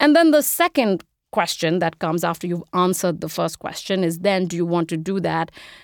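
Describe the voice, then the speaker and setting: In a very clean recording with a silent background, a woman with an Indian accent talks at a medium pitch with ordinary pitch variation, the sound dry and close with no echo. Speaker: investment strategist. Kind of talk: interview.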